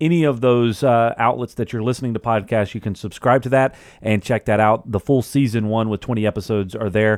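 Using a normal speaking voice, a man keeps a medium pitch and fairly even intonation. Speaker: podcast host. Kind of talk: casual interview chat.

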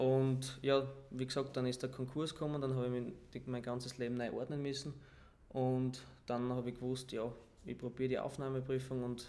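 Monotone, flat intonation marks a man speaking at a medium pitch and a fairly quick pace. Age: 20s. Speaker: footballer. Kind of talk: casual interview. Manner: calm.

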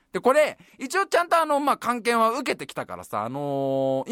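A man speaks at a moderate pace in a raised, projected voice, extremely high-pitched and bright and sharp in tone, animated, with very wide pitch swings and a dry, close sound with no echo. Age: 30s. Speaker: podcast host. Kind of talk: casual chat.

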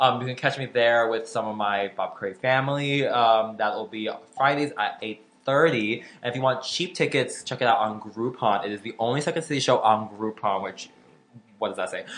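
A man's unremarkable speaking voice with an American accent, medium pitch, ordinary pitch variation and a moderate pace. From Florida. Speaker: comedian and podcast co-host. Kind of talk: casual chat.

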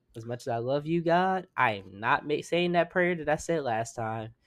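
A man in an unremarkable speaking voice keeps a moderate pace, his intonation lively. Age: 20s. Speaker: podcast co-host. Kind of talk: casual chat.

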